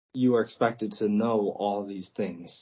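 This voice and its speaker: Speaking at a fairly slow pace, a man uses a fairly low voice. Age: 20s. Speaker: workplace injury survivor. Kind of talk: interview testimony. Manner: halting, many fillers.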